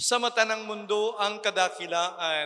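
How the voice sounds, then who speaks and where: A man's bright, sharp tone at a very slow pace with ordinary pitch variation. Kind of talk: sermon.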